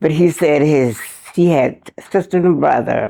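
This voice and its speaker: A woman talks at a fairly slow pace with an American accent. Her tone is dark and mellow. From South Carolina. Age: 90s. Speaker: retired teacher. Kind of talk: interview answer.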